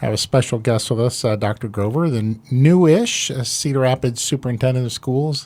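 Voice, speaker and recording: A man speaks at a fairly quick pace with an American accent. His voice sits at a medium pitch with ordinary pitch variation. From Iowa. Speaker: pastor and podcast host. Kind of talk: casual interview.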